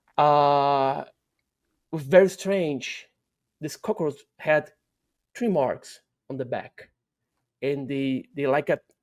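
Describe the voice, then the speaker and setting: Speaking very slowly with long, frequent pauses, a man with a Portuguese accent has a fairly high voice. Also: ordinary pitch variation. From Brazil. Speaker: UFO researcher. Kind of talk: interview. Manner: halting, many repetitions and fillers.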